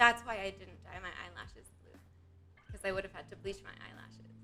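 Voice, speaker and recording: With music in the background, a woman speaks at a moderate pace in a monotone, flat intonation. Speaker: streamer. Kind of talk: casual chat. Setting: live stream. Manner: loud.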